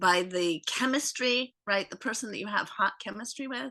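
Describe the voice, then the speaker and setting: Her intonation lively, a woman is speaking. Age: 60s. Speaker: guest interviewee. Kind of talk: casual chat.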